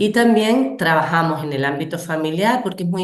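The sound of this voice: A woman talks at a fairly quick pace and a low pitch.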